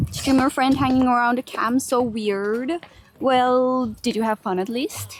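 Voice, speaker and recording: Her pitch is high and her intonation fairly even. The woman speaks at a fairly slow pace. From Finland. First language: Finnish. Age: 20s. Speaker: streamer. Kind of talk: live stream chat. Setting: outdoors. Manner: soft-spoken; murmuring.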